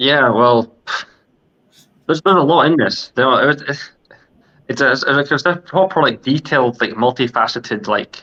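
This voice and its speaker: The voice has a bright, sharp tone and very even loudness, moving at a moderate pace with ordinary pitch variation and long, frequent pauses. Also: man, fairly high pitch for a man. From Scotland. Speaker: podcast co-host. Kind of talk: casual discussion. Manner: halting, many fillers.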